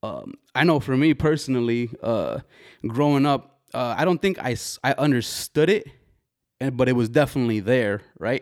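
The recording is dry and close with no echo as a man of medium pitch speaks at a moderate pace in an unremarkable speaking voice. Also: ordinary pitch variation, very clean recording, silent background. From US, Mexican-American family. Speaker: podcast host. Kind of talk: casual chat. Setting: studio with camera.

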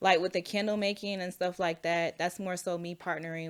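With an American accent, a woman uses a normal speaking voice at a fairly quick pace and fairly even intonation. The recording is very clean, with a silent background. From Florida (Orlando, then small-town Georgia). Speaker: plant shop owner, entrepreneur. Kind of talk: casual interview chat.

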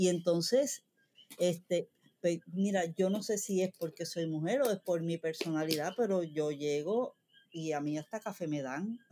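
With a Puerto Rican accent, the speaker talks at a fairly slow pace in a dark, mellow tone. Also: woman, fairly low pitch for a woman, ordinary pitch variation. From Puerto Rico. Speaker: cabinetmaker. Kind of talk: casual chat.

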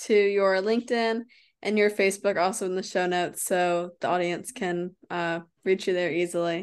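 Against a quiet background, a woman with an unremarkable speaking voice talks at a medium pitch and moderate pace in an American accent, her intonation fairly even. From United States. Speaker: health and wellness coach, podcast host. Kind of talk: interview. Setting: remote call.

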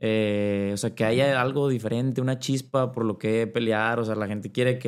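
A man with an ordinary speaking voice talks at a fairly quick pace with a medium pitch. His intonation is fairly even, and the recording is very clean with a silent background. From Mexico, Monterrey, Nuevo León. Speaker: professional footballer. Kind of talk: casual interview.

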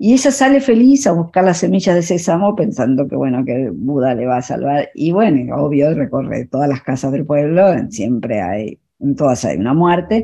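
A woman speaks at a very deep, low pitch with a dark, mellow tone and vocal fry. Her pace is moderate, and her pitch swings very widely. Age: 60s. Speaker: photographer and filmmaker. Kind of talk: radio interview. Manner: halting.

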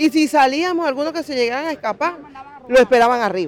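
Crowd noise behind a woman's high-pitched voice at a fairly quick pace. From Venezuela. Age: 40s. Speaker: migrant. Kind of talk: interview testimony.

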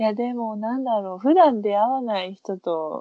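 A woman talks at a fairly slow pace with ordinary pitch variation. It is a normal speaking voice. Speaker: podcast co-host. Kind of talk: casual chat.

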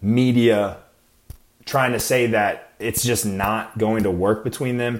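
A man speaks with an American accent at a medium pitch. His pace is fairly slow. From US Midwest and Arizona. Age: 20s. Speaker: podcast host and Marine. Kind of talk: casual solo podcast talk.

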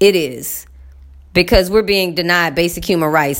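Lively intonation carries a woman's speech at a moderate pace. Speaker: podcaster. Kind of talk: casual monologue.

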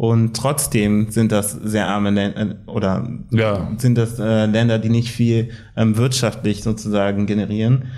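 The voice is dark and mellow, delivered at a fairly slow pace with monotone, flat intonation and very even loudness. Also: man, fairly low pitch for a man. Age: 20s. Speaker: anti-racism activist. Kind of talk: casual chat. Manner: hesitant with many fillers.

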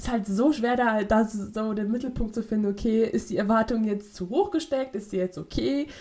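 A woman's fairly high-pitched, somewhat breathy voice with a dark, mellow tone at a fairly quick pace. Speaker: podcast co-host, university student. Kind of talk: casual chat. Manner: fast; halting.

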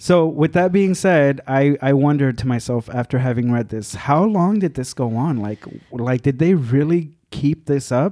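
With a Spanish accent and a dark, mellow tone, the voice keeps a moderate pace with hardly any pauses and ordinary pitch variation, in a dry, close sound with no echo. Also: man, fairly high pitch for a man. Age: 30s. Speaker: podcast guest. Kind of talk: casual chat.

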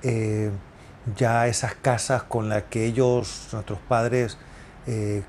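A man's medium-pitched voice at a very slow pace. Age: 50s. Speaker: real estate agent. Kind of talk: solo podcast monologue. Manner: halting, many filler sounds.

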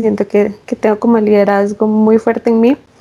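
A woman's fairly high, monotone, flat delivery proceeds at a moderate pace through noticeable background noise. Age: 20s. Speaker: pregnant forestry engineer. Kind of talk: casual interview.

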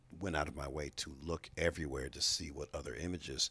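A man speaks at a fairly quick pace with vocal fry. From Chicago, US Midwest. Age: 50s. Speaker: state legislator. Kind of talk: interview. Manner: many fillers (uh, um).

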